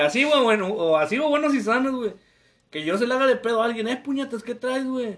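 Against a quiet background, a man talks at a fairly quick pace with an extremely high pitch and lively intonation. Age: 20s. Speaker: podcast co-host. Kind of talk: casual chat.

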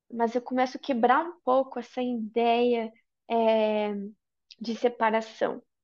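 Speaking at a very slow pace, a woman keeps her high voice monotone and flat. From Brazil. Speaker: yoga and tantra teacher. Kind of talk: casual interview chat.

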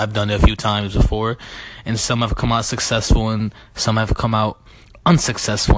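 Fairly quick in pace, the man talks with a fairly low pitch. He has an ordinary speaking voice. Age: 20s. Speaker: podcast host. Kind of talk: casual monologue. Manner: relaxed.

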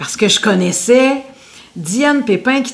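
A woman talks with a Quebec accent and lively intonation. Noticeable background noise runs underneath. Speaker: singer and radio host. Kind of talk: interview. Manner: loud.

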